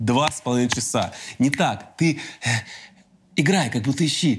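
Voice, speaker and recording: A man speaks at a moderate pace with a fairly high pitch and a somewhat breathy voice. The recording is very clean, with a silent background. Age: 30s. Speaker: podcast host. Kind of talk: casual interview chat.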